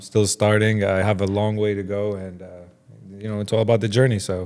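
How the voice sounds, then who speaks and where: With an Arabic accent, a man talks at a fairly quick pace in a fairly low, monotone, flat voice whose loudness swings widely. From Jordan. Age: 30s. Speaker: watch dealer. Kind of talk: casual interview. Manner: casual.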